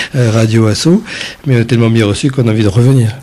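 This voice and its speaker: The man talks at a fairly quick pace and medium pitch. Background noise is noticeable. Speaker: parliamentary candidate. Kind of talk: radio interview. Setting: radio studio. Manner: hesitant.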